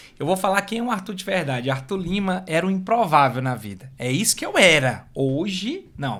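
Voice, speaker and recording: With a bright, sharp tone and lively intonation, the voice moves at a moderate pace with hardly any pauses. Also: man, high pitch for a man. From Brazil, Fortaleza, Ceará. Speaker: motivational speaker. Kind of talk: podcast interview.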